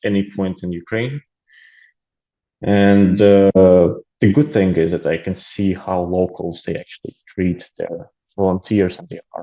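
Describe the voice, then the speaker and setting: A man speaks slowly, at a fairly unhurried pace. His fairly low voice carries a dark, mellow tone. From Latvia, Riga. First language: Russian. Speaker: aid volunteer. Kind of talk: interview. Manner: hesitant with many fillers.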